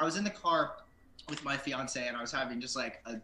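A man rattles along very fast, his pitch varying in an ordinary way, with noticeable background noise throughout. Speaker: band member, songwriter. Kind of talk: casual interview.

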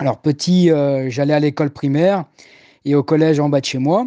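A man talks at a moderate pace with a fairly high pitch, a dark, mellow tone and fairly even intonation, the sound dry and close with no echo. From Paris, France. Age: 30s. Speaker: cruise ship passenger host. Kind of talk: interview.

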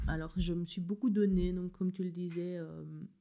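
A woman's voice, dark and mellow in tone, unfolds at a fairly slow speed. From rural Belgium. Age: 30s. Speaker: new mother, former literacy teacher. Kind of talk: casual interview. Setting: at home with baby in a sling.

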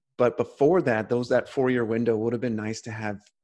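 Against a quiet background, a man with an American accent and a normal speaking voice talks at a fairly quick pace with fairly even intonation. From California. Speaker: coach. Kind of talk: interview conversation.

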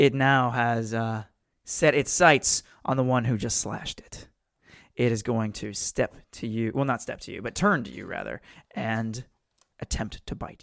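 A man speaks in an ordinary speaking voice, medium in pitch, at a moderate pace with fairly even intonation and big swings in loudness, on a very clean recording with a silent background. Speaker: game master. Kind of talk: tabletop roleplaying game session, casual banter. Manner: joking, banter-heavy.

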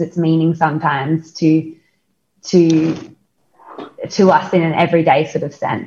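In an Australian accent, a woman speaks fairly slowly in a fairly low voice. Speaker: podcast co-host, company co-founder. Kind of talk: casual interview. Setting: video call. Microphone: call audio may cut in and out.

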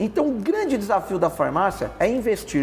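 Noticeable background noise is audible. Over it, a man's pitch swings very widely. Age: 40s. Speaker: pharmaceutical industry executive. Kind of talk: interview.

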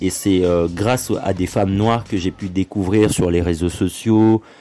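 A man with a Congolese accent speaks at a fairly slow pace in a very deep, low pitch and a dark, mellow tone, with fairly even intonation. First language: Lingala (speaking French). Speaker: podcast host. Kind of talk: solo monologue podcast. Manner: hesitant with many fillers.

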